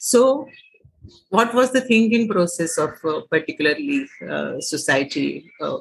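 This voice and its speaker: With very wide pitch swings, a woman talks at a fairly slow pace in a somewhat breathy voice. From Maharashtra, India. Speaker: writer, actor and theatre director. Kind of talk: interview conversation. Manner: hesitant with frequent fillers.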